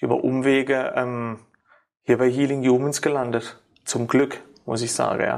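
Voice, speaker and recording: This man talks at a fairly slow pace, leaving long, frequent pauses. His intonation stays flat and monotone. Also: medium pitch for a man. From Ortenau, Baden-Württemberg, Germany. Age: 40s. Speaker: sports therapist. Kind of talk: interview. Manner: halting, many fillers.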